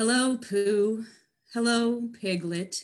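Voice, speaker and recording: A woman speaks in a put-on character voice with a fairly high pitch. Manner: glum.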